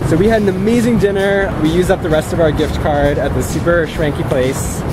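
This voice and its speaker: The speech keeps a moderate pace. Loud background noise sits behind it. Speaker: vlogger. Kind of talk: casual vlog chat. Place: street. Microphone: phone near.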